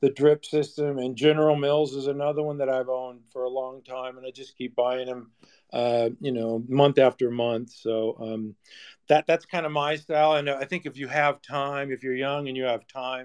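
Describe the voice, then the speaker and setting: A man at a medium pitch, monotone and flat in intonation, with big swings in loudness, a moderate pace and a dry, close sound with no echo. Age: 60s. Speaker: seasoned trader and investor. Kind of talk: casual panel discussion. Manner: halting, with frequent fillers and repetitions.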